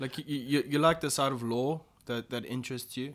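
A man with vocal fry speaks at a fairly quick pace in a very clean recording with a silent background. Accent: South African. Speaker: podcast host. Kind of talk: casual chat.

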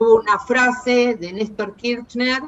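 A woman with a fairly high pitch speaks in a Rioplatense accent. Her delivery is very slow, with noticeable background noise behind it. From Argentina. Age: 60s. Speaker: museum director, dictatorship survivor. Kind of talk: testimony.

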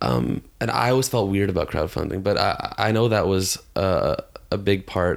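On a very clean recording with a silent background, a man with a Canadian accent talks at a moderate pace, his fairly low voice showing vocal fry and lively intonation. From Toronto, Canada. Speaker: rock musician. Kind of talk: casual chat. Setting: home living room studio.

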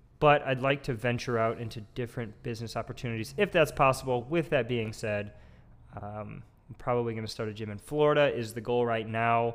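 A man talks at a fairly quick pace in a normal speaking voice. His pitch sits in the medium range with ordinary variation. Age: 20s. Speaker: podcast co-host, gym worker. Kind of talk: casual chat.

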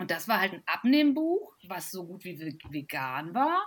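A woman's somewhat breathy, fairly high voice is captured on a very clean recording with a silent background. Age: 40s. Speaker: physician and health blogger. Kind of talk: casual chat.

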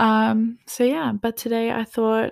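A woman speaks at a fairly high pitch in an Australian accent. The recording is very clean, with a silent background. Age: 20s. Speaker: podcast host, student. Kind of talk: casual solo chat. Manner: casual, many filler ums.

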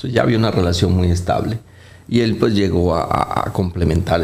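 This man's voice sits very deep and low, and his intonation stays fairly even. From Colombia. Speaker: vascular surgeon. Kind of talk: interview. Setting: studio with live set. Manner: halting, frequent fillers.

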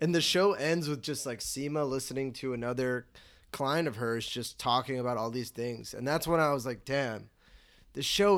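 A man with an American accent has an ordinary speaking voice, medium pitch and ordinary pitch variation, speaking at a moderate pace on a very clean recording with a silent background. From Chicago. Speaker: podcast co-host. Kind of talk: casual chat.

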